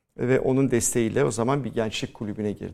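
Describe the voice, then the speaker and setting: A dark, mellow male voice with ordinary pitch variation. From Istanbul, Turkey. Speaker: Greek Orthodox community representative. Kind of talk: interview.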